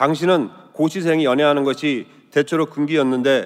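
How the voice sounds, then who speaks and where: With an ordinary speaking voice, a man speaks at a fairly high pitch with ordinary pitch variation. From Gangwon Province, Sokcho, South Korea. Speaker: lawyer giving testimony. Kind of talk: testimony. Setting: church.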